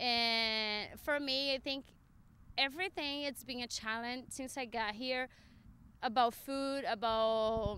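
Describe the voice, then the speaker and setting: Speaking at a very slow pace, a woman with a Latin American accent has a high pitch, a bright, sharp tone, and ordinary pitch variation. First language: Spanish. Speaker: professional interviewee. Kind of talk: interview. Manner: halting.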